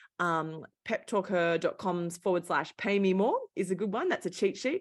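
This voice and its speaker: A woman with a strong Australian accent, medium pitch and ordinary pitch variation. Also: very clean recording, silent background. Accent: Australian, thick. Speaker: founder of women's career coaching company, former journalist. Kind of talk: interview conversation. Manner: animated.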